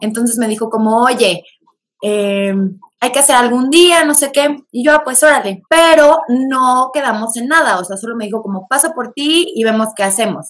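Lively intonation marks this woman's high-pitched voice. She keeps a moderate pace. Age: 20s. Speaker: podcast guest. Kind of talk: casual chat.

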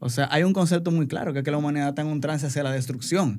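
Speaking at a very fast pace with ordinary pitch variation, a man is heard in a very clean recording with a silent background. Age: 40s. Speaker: advertising creative and entrepreneur. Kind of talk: casual chat. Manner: halting.

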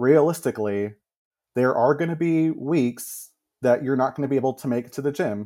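A man speaks in a dark, mellow tone with an American accent. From Texas. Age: 30s. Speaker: music teacher. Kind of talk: personal story in interview. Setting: remote call.

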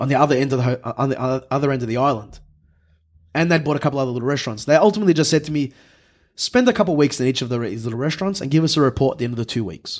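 A man with an Australian accent talks at a very fast pace, with long, frequent pauses, a fairly high pitch and ordinary pitch variation. The recording is very clean, with a silent background. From Melbourne, Australia. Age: 20s. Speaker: chef. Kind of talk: casual chat.

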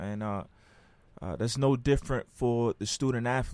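A man's normal speaking voice at a moderate pace with ordinary pitch variation. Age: 30s. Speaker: podcast host and army veteran. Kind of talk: casual chat.

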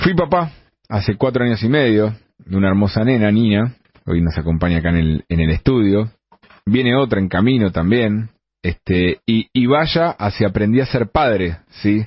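A man with a Rioplatense accent speaks at a fairly low pitch and a moderate pace, with lively intonation and very even loudness. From Argentina. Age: 40s. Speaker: radio columnist. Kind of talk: radio opinion column.

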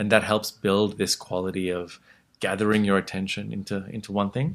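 The voice carries an Australian accent and a calm, relaxed tone. Its intonation is fairly even. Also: man. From Australia (born in Sri Lanka, moved after age six). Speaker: meditation teacher. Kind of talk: interview, teaching tone. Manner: calm, relaxed with many fillers.

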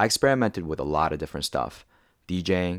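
In a very clean recording with a silent background, a man with a very deep, low pitch talks at a fairly quick pace, the sound dry and close with no echo. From South Korea (Seoul). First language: Korean. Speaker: podcast host, startup founder. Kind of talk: scripted narration.

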